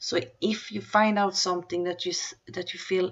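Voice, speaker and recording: Speaking with a non-native accent, this person keeps a moderate tempo. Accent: foreign accent from mother tongue. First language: Swedish. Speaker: crypto news youtuber. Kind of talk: news reading with commentary. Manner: halting, with fillers and restarts.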